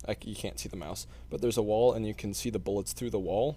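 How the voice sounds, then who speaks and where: A man with a very deep, low pitch, a dark, mellow tone, vocal fry and very wide pitch swings at a fairly quick pace. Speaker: indie game developer. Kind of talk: gameplay walkthrough. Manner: loud; hesitant, many fillers.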